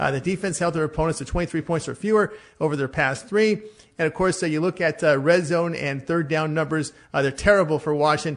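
A man with a normal speaking voice talks fairly quickly at a fairly high pitch, with ordinary pitch variation. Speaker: sports betting handicapper. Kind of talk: sports betting picks discussion.

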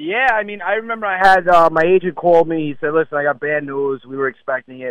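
Using an ordinary speaking voice, a man talks at a fairly quick pace with ordinary pitch variation in a dry, close sound with no echo. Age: 40s. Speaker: stand-up comedian. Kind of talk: casual interview chat.

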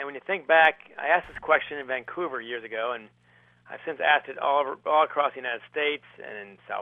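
A man with an American accent has a plain, everyday voice. He talks fairly quickly at a fairly high pitch. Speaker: author and former high school hockey coach. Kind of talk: radio interview about his book.

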